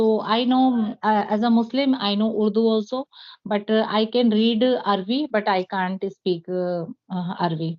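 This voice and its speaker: This woman speaks with an Indian accent at a moderate pace. Her pitch is fairly high, with ordinary variation. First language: Hindi. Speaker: English teacher. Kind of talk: interview. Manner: halting, many fillers.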